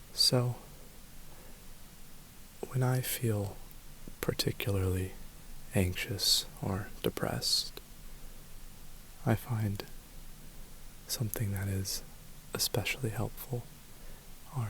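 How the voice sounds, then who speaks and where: Soft-spoken and very slow, the voice comes with long, frequent pauses over noticeable background noise. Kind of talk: ASMR guided grounding exercise.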